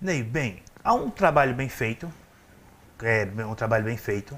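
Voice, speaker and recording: At a medium pitch, a man speaks at a fairly slow pace. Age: 40s. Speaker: city councillor. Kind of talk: interview.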